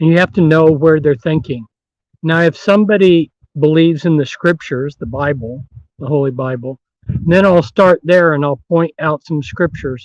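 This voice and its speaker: This man's voice sits fairly high in pitch, with ordinary pitch variation. He talks at a moderate pace. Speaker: author and researcher on secret societies. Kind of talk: interview. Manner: loud. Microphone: distorting from loudness.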